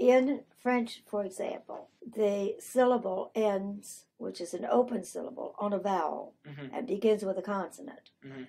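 A woman's medium-pitched, dark, mellow voice with vocal fry, lively intonation, big swings in loudness and a moderate pace. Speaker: retired French teacher. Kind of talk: interview answer.

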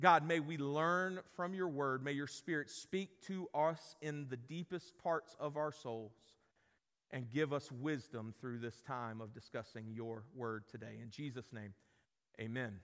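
At a fairly slow pace, a man speaks at a medium pitch with a fairly bright tone and fairly even intonation.

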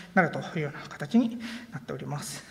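Woman at a very fast pace with ordinary pitch variation. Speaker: conference speaker, software engineer; conference speaker. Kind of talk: conference talk. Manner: halting with many fillers. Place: hall.

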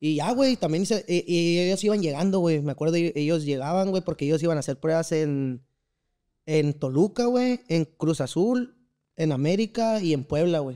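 At a moderate pace, a man with a high pitch and a dark, mellow tone speaks with lively intonation and very even loudness over a quiet background. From central Mexico, Valle de Bravo, State of Mexico; State of Mexico. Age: 20s. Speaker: amateur footballer; podcast guest. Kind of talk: casual interview chat. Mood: relaxed storytelling. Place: studio. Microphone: studio mic.

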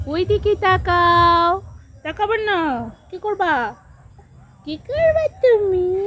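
A woman speaks at an extremely high pitch with lively intonation. Her loudness swings a great deal. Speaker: vlogger and mother. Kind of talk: casual vlog talk, partly baby talk to her child.

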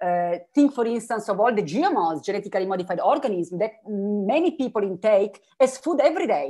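Speaking at a fairly quick pace with an Italian accent, a woman uses a medium pitch and very wide pitch swings against a quiet background. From Italy, Turin; Italy. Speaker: philosopher; keynote speaker. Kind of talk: keynote dialogue. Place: home room. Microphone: video call.

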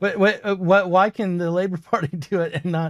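The man keeps a moderate pace, and the background is quiet. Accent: American. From US. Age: 50s. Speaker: podcast host. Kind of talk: interview. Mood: wry, questioning. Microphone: studio mic.

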